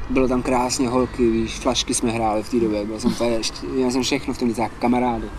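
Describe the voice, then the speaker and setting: A man at medium pitch, fairly quick and monotone with flat intonation, over noticeable background noise. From Czech Republic, Prague then South Bohemia. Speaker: rapper. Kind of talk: casual interview storytelling.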